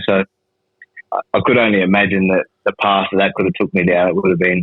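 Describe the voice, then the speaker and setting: A man in an Australian accent with a very deep, low pitch, a fairly quick pace, very even loudness and monotone, flat intonation. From Darwin, Northern Territory, Australia. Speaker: former prisoner in recovery. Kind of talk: podcast interview answer. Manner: casual, profane.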